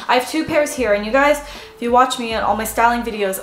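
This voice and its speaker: Recorded with audible room echo and light background noise, a woman speaks in a high pitch. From Canada. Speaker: fashion YouTuber. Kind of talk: casual haul video talk to camera. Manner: animated. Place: home room. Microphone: camera far.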